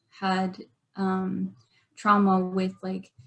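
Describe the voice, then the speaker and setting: Her medium-pitched voice somewhat breathy, a woman speaks at a very slow pace. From Arizona, Navajo Nation. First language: Navajo. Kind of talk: online workshop presentation.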